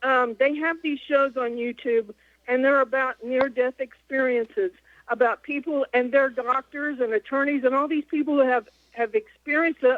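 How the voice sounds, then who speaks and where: A woman's high voice with fairly even intonation. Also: moderate pace. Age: 60s. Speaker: caller. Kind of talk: call-in comment. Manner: halting.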